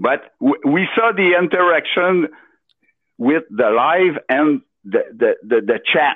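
A man speaks very slowly with a Quebec accent, his fairly high voice swinging very widely in pitch. His loudness stays very even throughout. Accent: Québécois French-accented English. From Quebec, Beauce. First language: French. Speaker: caller. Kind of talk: casual chat. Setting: phone call. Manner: halting.

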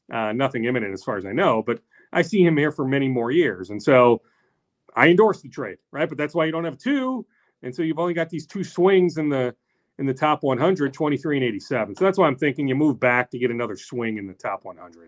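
Using an ordinary speaking voice, a man talks at a fairly quick pace and fairly high pitch, with lively intonation and big swings in loudness. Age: 40s. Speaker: sports reporter. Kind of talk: casual chat.

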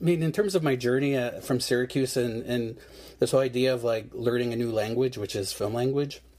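Speaking with an American accent, a man has a dark, mellow tone. His pitch is medium, with ordinary pitch variation. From Seneca Nation, New York State. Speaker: filmmaker. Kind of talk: interview. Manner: halting.

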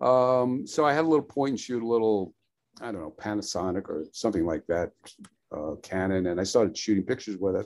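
With a New York accent, a man talks at a fairly quick pace using lively intonation. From New York, Brooklyn. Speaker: photographer and painter. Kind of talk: casual interview.

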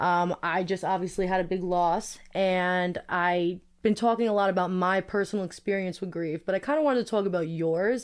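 A woman with a Brooklyn accent at medium pitch, a moderate pace, ordinary pitch variation and hardly any pauses, against a quiet background. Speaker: podcast host. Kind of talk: casual chat.

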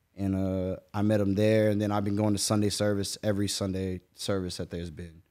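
Over a silent background in a very clean recording, a man with an American accent talks fairly quickly in a fairly low, dark, mellow voice with monotone, flat intonation. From Jacksonville, Florida. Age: 20s. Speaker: rapper. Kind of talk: casual chat.

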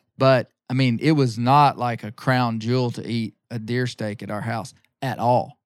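In a very clean recording with a silent background and a dry, close sound with no echo, a man with an Ozarks accent speaks at a moderate pace and medium pitch, his intonation fairly even and his loudness swinging widely. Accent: Ozarks Southern US. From Arkansas. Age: 40s. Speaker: bear hunter and magazine publisher. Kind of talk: casual interview chat.

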